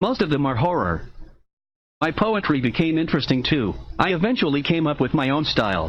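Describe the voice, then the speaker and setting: Vocal fry runs through a man's fairly high voice as he talks fairly quickly with lively intonation. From United States, moved around (Midwest and South). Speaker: writer reading his own work. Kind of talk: reading aloud of his own memoir.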